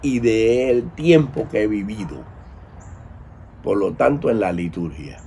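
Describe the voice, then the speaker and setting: A man talks at a very slow pace. His medium pitch carries lively intonation. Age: 70s. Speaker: priest of Afro-Cuban religions. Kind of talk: commentary monologue.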